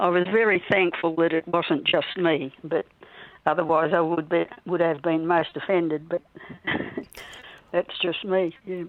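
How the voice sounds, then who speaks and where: A woman's fairly low, flat monotone in an Australian accent, at a moderate pace. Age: 80s+. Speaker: Meals on Wheels volunteer. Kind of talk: interview answer.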